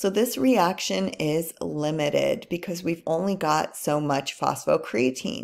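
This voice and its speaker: Vocal fry runs through this woman's lively intonation at a fairly slow pace. The recording is very clean, with a silent background. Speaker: anatomy and physiology instructor. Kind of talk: recorded university video lecture.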